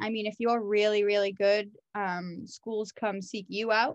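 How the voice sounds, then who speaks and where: A woman talks in a normal speaking voice. Her pitch sits fairly high. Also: quiet background. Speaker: physical education teacher. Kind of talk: interview. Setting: call.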